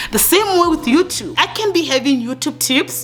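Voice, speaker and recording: A woman speaks in an intense, angry tone with very wide pitch swings. Noticeable background noise is present. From Africa. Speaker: YouTube coach. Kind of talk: tutorial. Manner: fast; intense, sounds angry.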